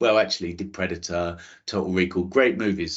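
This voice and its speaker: A man speaks with a strong London accent. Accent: thick London. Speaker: space scientist giving a careers talk. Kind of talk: talk to school students. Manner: hesitant, with repetitions and restarts.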